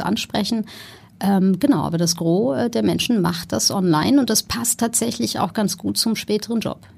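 A woman talks at a moderate pace and medium pitch. Her tone is dark and mellow, with vocal fry. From Germany, Ruhr area. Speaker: entrepreneur, founder of a tech training school. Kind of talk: interview.

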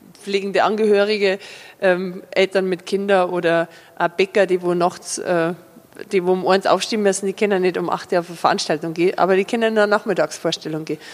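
A woman speaks at a fairly quick pace in an Upper Bavarian accent. Her intonation stays fairly even over noticeable background noise. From Upper Bavaria, Fürstenfeldbruck district. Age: 40s. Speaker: cabaret comedian. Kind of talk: interview. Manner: hesitant, many fillers.

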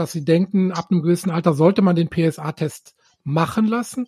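This man's voice sits high in pitch, with fairly even intonation and a moderate pace. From Rhineland. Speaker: urologist, podcast co-host. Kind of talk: interview.

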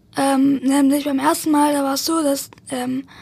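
Noticeable background noise sits behind a woman talking in a high voice. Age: young, 18. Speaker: best friend of the deceased. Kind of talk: interview. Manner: halting, many fillers and repetitions.

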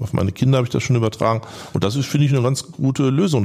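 A man at a medium pitch and a very fast pace, with ordinary pitch variation over noticeable background noise. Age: 60s. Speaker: commercial real estate broker. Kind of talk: interview.

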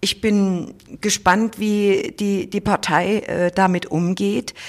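A woman's very slow, fairly even speech on a very clean recording with a silent background. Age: 50s. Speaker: state parliament president, politician. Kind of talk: interview. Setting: office.

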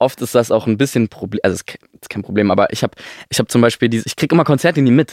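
Speaking at a very fast pace with big swings in loudness, a medium-pitched man is heard in a dry, close sound with no echo. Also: ordinary pitch variation. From Stuttgart area, Germany. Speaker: singer-songwriter. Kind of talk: casual chat. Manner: halting.

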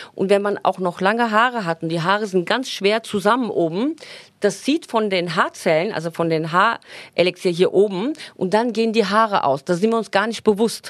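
Here is a woman with a plain, everyday voice. She talks at a moderate pace, with medium pitch and ordinary pitch variation. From Turkey. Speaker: hairdresser and salon owner. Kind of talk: casual interview chat.

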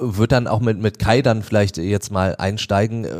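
With a normal speaking voice, a man talks at a fairly low pitch. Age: 40s. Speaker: radio host. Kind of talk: casual chat. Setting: studio.

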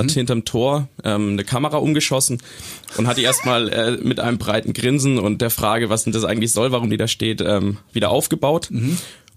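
This man speaks at a fairly quick pace, his medium pitch varying in an ordinary way. Noticeable background noise runs underneath. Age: 20s. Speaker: football fan, student. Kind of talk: casual chat. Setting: studio.

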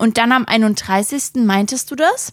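With an animated tone, a woman talks in a fairly high voice with ordinary pitch variation. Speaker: podcast co-host. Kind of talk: casual chat. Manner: animated, laughing often.

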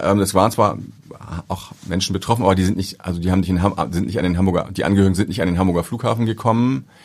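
The man's voice is very deep and low, with fairly even intonation. He speaks at a very fast pace. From northern Germany, Ahrensburg near Hamburg. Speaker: airport pastor. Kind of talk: interview conversation. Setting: studio.

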